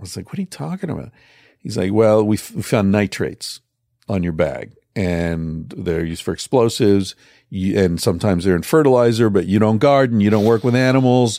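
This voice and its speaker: Speaking at a fairly quick pace with lively intonation, a man has a dark, mellow tone and fairly low pitch on a very clean recording with a silent background. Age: 50s. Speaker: psychologist and author. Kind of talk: casual chat.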